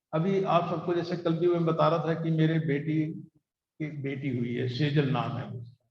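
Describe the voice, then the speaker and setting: Fairly even intonation with audible room echo. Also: man, fairly high pitch for a man. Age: 60s. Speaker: satsang preacher. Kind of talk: sermon. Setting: gathering with live audience, also streamed online.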